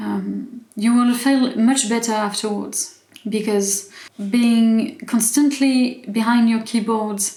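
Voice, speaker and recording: A woman with a fairly high pitch at a fairly slow pace, amid noticeable background noise and audible room echo. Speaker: YouTuber. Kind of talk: casual vlog commentary. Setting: home, evening, in pajamas. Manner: halting, many fillers and restarts.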